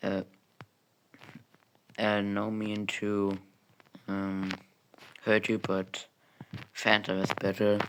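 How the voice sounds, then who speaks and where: A man with a fairly low pitch, speaking at a very slow pace in monotone, flat intonation. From Germany. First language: German. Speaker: gaming YouTuber. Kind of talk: gameplay commentary. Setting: home recording room with soundproof foam. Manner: halting, many fillers. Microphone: new gaming mic, clearer sound.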